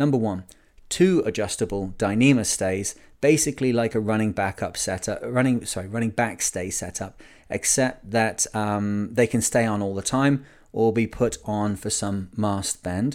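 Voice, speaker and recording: Very clean audio against a silent background, a man's fairly low voice with ordinary pitch movement. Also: moderate pace. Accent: northern English. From Lancashire, England. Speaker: sailing podcast host. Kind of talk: casual podcast monologue.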